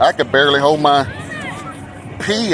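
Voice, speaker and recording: Crowd noise sits behind a man who speaks with an American accent at a fairly high pitch, using lively intonation at a fairly slow pace. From Texas, Dallas (South Oak Cliff). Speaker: cruise vlogger. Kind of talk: casual vlog monologue. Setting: outdoors at a cruise line's private island.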